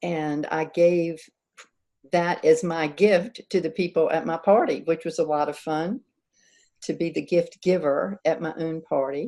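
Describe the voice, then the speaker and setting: With fairly even intonation, a woman speaks at a fairly low pitch in a dark, mellow tone. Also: fairly slow pace. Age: 70s. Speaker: author and coach. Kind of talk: interview. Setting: live online stream on Zoom and Facebook.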